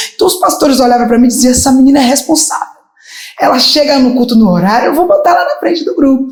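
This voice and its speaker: A woman's high-pitched, very fast speech with audible room echo. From Brazil, Bahia. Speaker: gospel singer. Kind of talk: interview testimony.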